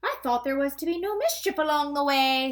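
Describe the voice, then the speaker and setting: The speaker uses a put-on character voice pitched high, delivered at a moderate pace. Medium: read story.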